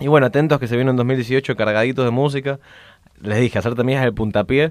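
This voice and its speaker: With fairly even intonation, a man rattles along at a very fast pace. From Brazil, Rio de Janeiro. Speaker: singer-musician. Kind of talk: interview. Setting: studio.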